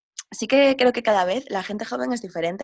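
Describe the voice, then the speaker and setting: A woman speaks at a fairly quick pace with a medium pitch. It is a normal speaking voice. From Spain, Galicia (A Coruña). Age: 20s. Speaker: travel writer and yoga teacher. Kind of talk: interview.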